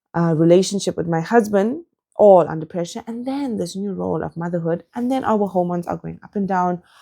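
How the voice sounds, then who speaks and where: A woman's fairly low, dark, mellow voice at a fairly quick pace, with ordinary pitch variation, big swings in loudness, and a very clean recording against a silent background. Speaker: motherhood channel host, doctor. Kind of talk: casual personal vlog monologue. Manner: fast.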